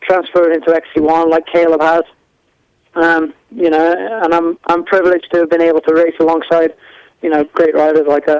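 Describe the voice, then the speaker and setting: A man with an English accent speaks at a high pitch and a fairly quick pace, with monotone, flat intonation. His loudness stays very even, and the sound is dry and close with no echo. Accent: English-sounding. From mid Wales. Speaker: motorcycle racer. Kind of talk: interview. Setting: live internet radio.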